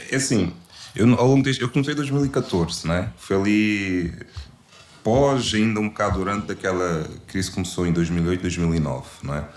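Noticeable background noise sits behind a man who speaks at a fairly low pitch with lively intonation. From Portugal (since age 5). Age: 30s. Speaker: real estate investor and financial consultant. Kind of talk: casual interview chat.

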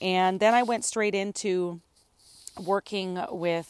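A woman's plain, everyday voice, fairly slow and fairly even in intonation, on a very clean recording with a silent background. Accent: Canadian. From northern British Columbia, Canada. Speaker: podcast host, holistic ecotherapist and coach. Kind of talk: solo podcast monologue.

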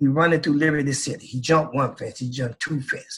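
A man with a fairly high pitch speaks very fast in an animated tone, with ordinary pitch variation. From Flint, Michigan. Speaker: motivational speaker. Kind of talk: interview.

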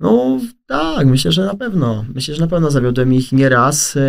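A man talks in a fairly high pitch. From south-eastern Poland. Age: 20s. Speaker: content creator. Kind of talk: casual chat. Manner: animated.

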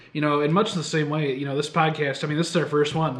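A man with a Midwestern American accent, fairly high-pitched, at a very fast pace, amid noticeable background noise and audible room echo. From Michigan. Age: 20s. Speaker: podcast co-host, ministry student. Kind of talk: casual chat.

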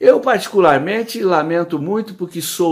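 A man speaks at a fairly high pitch with a Brazilian accent. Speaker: commentator. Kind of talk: opinion commentary.

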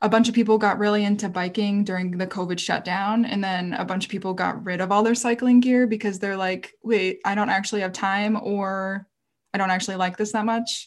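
With a plain, everyday voice, a woman speaks at a moderate pace and medium pitch with fairly even intonation, on a very clean recording with a silent background. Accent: American. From rural Minnesota, US Midwest. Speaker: outdoor writer and former guide. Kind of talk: casual interview.

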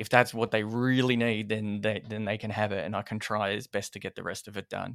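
On a very clean recording with a silent background and a dry, close sound with no echo, a man with a fairly low pitch speaks at a moderate pace with monotone, flat intonation. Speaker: video editor, post-production. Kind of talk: casual interview.

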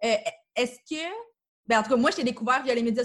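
A high-pitched woman talks very fast, with ordinary pitch variation. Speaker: podcast host. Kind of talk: interview.

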